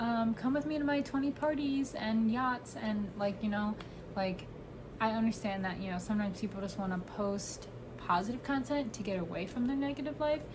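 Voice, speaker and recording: Fairly quick speech in an American accent, ordinary pitch variation, noticeable background noise and audible room echo. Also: woman, fairly high pitch for a woman. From New York. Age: 20s. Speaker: podcaster. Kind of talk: casual chat.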